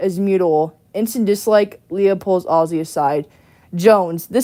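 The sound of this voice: The intonation shows ordinary pitch variation in an unforced reading voice.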